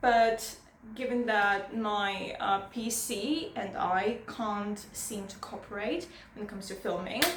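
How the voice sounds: In a room with strong echo, a woman speaks slowly at a medium pitch in a nervous tone. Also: ordinary pitch variation.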